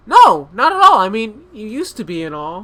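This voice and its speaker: Mumbling in a put-on character voice, a man talks at a moderate pace with a high pitch and very wide pitch swings. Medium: read story. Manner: flustered, mumbling.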